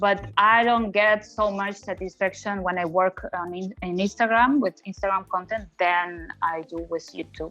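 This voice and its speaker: Music plays in the background as a woman speaks at a medium pitch and a moderate pace. Her intonation is fairly even, with hardly any pauses. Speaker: content creator. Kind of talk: interview. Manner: halting.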